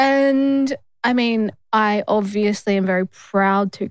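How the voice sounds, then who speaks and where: Pitch shifts in an ordinary way. No echo colors the dry, close sound. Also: woman. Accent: Australian. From Australia. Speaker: lawyer and podcast co-host. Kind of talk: casual chat. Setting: studio.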